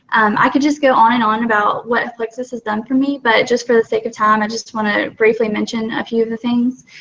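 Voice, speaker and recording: A woman speaks fairly quickly with hardly any pauses, in a fairly high, monotone, flat voice. There is noticeable background noise. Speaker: product ambassador. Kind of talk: testimony. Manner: fast; halting, many fillers.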